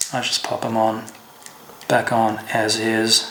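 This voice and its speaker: A man talks at a very slow pace in a medium pitch, with noticeable background noise behind him. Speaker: fishing show host. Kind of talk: tutorial. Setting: at home. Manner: casual, with fillers.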